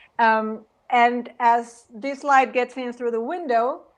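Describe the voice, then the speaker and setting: With a Mexican accent, a woman speaks at a very slow pace and a fairly high pitch over a quiet background. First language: Spanish. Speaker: singer. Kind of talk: casual chat. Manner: halting.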